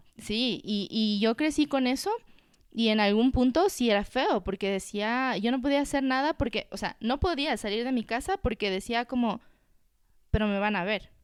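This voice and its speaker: A woman speaks in an unremarkable speaking voice, fairly high in pitch, with ordinary pitch variation. The recording is very clean with a silent background. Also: moderate pace. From Ecuador, Quito. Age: 20s. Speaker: entrepreneur, cosmetics brand founder. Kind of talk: casual chat.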